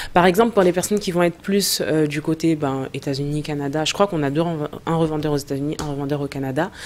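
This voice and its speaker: Talking at a very fast pace with hardly any pauses, a woman uses a very deep, low pitch and ordinary pitch variation. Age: 30s. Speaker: entrepreneur, cosmetics brand co-founder. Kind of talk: interview. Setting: studio.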